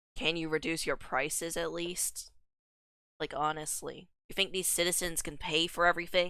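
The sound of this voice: In a put-on character voice, a woman talks at a moderate pace and a fairly low pitch, raspy and hoarse, with monotone, flat intonation.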